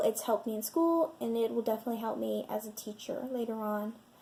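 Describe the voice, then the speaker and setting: Over noticeable background noise, a woman with an American accent talks at a moderate pace in a fairly high pitch. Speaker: education student. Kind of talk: admissions interview video. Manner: hesitant, many fillers.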